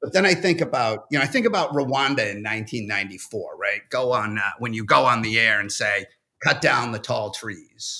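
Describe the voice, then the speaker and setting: A man's bright, sharp voice with a New England accent and lively intonation. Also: medium pitch for a man, fairly quick pace. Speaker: First Amendment attorney. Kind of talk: panel discussion. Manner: halting.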